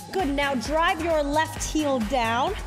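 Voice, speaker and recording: A woman speaks at a very slow pace with a high pitch. Clear music plays in the background. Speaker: fitness instructor. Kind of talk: workout class cueing. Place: studio.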